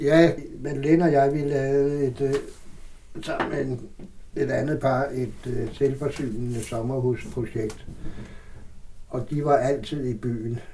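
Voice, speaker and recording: A man's fairly high-pitched voice at a very slow pace, with noticeable background noise and audible room echo. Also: fairly even intonation. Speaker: theatre person, Christiania resident. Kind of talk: interview, personal recollection. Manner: halting.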